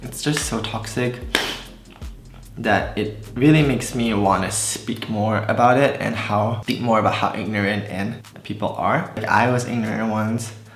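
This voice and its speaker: With music in the background and audible room echo, a man in an American accent speaks at a moderate pace with a fairly low pitch and fairly even intonation. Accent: American-sounding, hides Malaysian. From Malaysia. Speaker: beauty vlogger. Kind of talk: casual chat.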